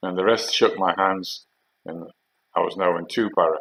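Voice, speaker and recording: Delivered at a moderate pace with a Geordie accent, the speech has a dry, close sound with no echo. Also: man. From North East England (Geordie). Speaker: army veteran. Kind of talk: storytelling monologue. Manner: halting.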